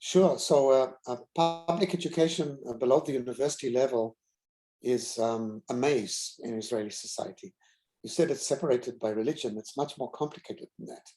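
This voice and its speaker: A medium-pitched man with a South African accent, a fairly quick pace, ordinary pitch variation and big swings in loudness. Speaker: university president. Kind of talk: keynote Q&A answer. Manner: halting, many fillers.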